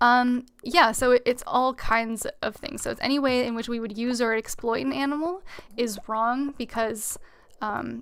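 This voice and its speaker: A loud, high-pitched woman's voice at a moderate pace, with ordinary pitch variation. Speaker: gaming streamer. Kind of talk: live gameplay stream chat.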